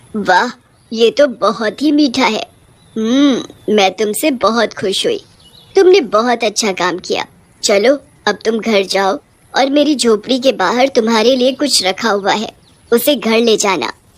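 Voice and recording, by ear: The speaker uses a put-on character voice and talks at a moderate pace. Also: woman, fairly high pitch for a woman.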